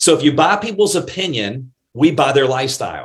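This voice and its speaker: The voice is somewhat breathy with an animated tone. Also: man. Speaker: network marketing trainer. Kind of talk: motivational training talk. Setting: live Zoom and Facebook stream.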